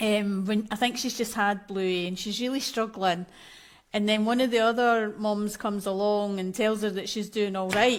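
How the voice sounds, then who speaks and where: In a very clean recording with a silent background, a woman with a strong Scottish accent speaks at a moderate pace in a fairly high, monotone, flat voice. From Scotland. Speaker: maternal mental health coach. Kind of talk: podcast interview.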